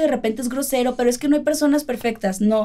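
A woman with a dark, mellow tone talks at a fairly high pitch, her intonation varying in an ordinary way. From Mexico, Culiacán, Sinaloa. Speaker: YouTuber and singer. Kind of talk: casual chat. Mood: warm, affectionate. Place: home room.

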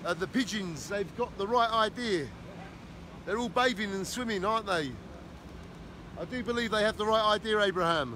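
Raised and projected, the voice has a bright, sharp tone and ordinary pitch variation, moving at a moderate pace with long, frequent pauses, recorded dry with no echo over light background noise. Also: man. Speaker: travel vlogger. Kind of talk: casual vlog chat. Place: street. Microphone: phone near.

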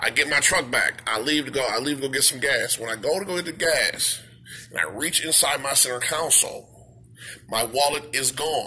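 Over light background noise, a man with a fairly high pitch talks at a moderate pace with ordinary pitch variation. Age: adult. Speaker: YouTuber. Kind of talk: vlog rant. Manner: animated; halting. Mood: upset, indignant. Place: shop. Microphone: phone near.

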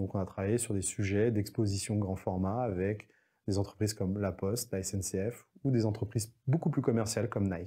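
A man's fairly low, somewhat breathy voice with a dark, mellow tone, a moderate pace and fairly even intonation. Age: 40s. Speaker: entrepreneur. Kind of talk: interview monologue. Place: studio. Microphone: lapel.

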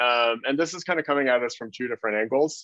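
A man's voice with lively intonation and a fairly quick pace, dry with no echo against a quiet background. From Canada (Toronto); Canada. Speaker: design researcher and consultant; presenter. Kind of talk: webinar talk. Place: home room. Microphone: video call.

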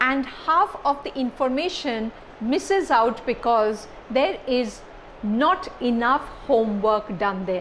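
A woman talks at a fairly slow pace with a high pitch. Light background noise can be heard. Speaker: lecturer. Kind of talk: lecture. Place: classroom. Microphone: lapel.

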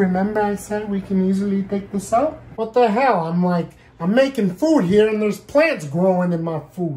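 At a moderate pace, a man with a high pitch and a dark, mellow tone speaks with lively intonation.

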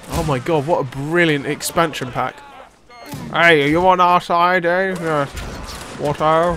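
A man with a high-pitched voice speaks at a fairly slow pace, with fairly even intonation and long, frequent pauses. Music plays behind him. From Scotland. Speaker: gaming video creator. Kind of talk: let's play gaming commentary.

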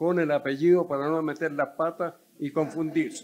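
A man speaks in a high pitch at a moderate pace. His pitch variation is ordinary. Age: old. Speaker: retired doctor, audience member; audience member. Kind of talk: audience comment. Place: hall. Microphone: handheld.

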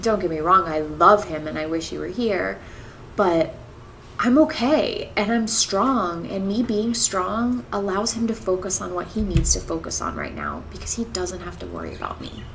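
Her loudness swinging in big jumps, a woman talks at a moderate pace over light background noise. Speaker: vlogger. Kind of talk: casual vlog chat. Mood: warm, upbeat, reflective. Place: home room.

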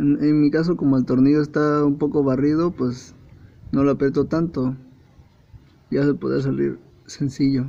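With a Mexican accent, a man speaks in a dark, mellow tone and fairly even intonation, leaving long, frequent pauses. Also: fairly high pitch for a man, moderate pace, very even loudness. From Mexico. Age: 20s. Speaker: computer assembler. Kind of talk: casual car repair tutorial. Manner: casual, joking. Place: garage. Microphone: phone near.

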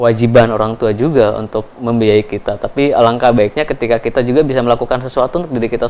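A man speaks at a very fast pace, keeping his intonation fairly even. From Papua, Indonesia (Timika); Papua, Indonesia. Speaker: education foundation speaker; interviewee. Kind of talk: interview testimony. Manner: hesitant, many fillers. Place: studio.

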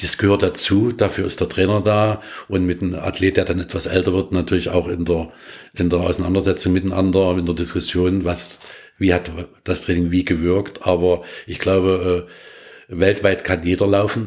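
Very deep and low, a man's voice stays flat and monotone. Behind it the recording is very clean and silent. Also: moderate pace. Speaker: running coach. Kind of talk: interview. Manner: hesitant with many fillers.

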